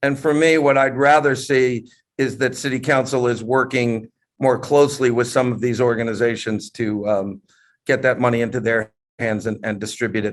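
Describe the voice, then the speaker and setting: An unremarkable speaking voice from a man, moderate in pace and medium in pitch. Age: 60s. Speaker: entrepreneur. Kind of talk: panel discussion on video call. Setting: video call.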